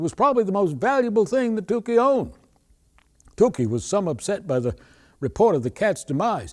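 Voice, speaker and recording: A high-pitched man with a Maine accent at a fairly quick pace, on a very clean recording with a silent background. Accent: Maine Yankee. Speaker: storyteller, humorist. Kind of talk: humorous folk story telling.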